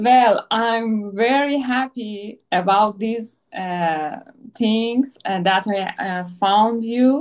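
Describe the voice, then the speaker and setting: Speech with a Persian accent comes at a very slow pace, with ordinary pitch variation. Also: woman, fairly high pitch for a woman. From Iran. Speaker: psychoanalytic therapist and former athlete. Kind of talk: video interview conversation. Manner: halting, many fillers.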